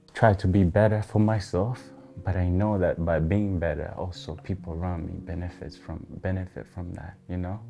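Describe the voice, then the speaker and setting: A man's very deep, low voice with a non-native accent at a moderate pace, music in the background. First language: not English. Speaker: interview guest. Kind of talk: interview. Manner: reflective, hesitant.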